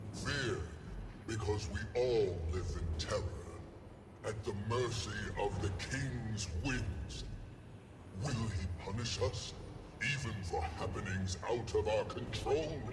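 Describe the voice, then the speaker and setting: A put-on character voice speaks at a fairly slow pace with long, frequent pauses. Loud background noise runs underneath. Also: man, medium pitch for a man. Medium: video game. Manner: dry, measured.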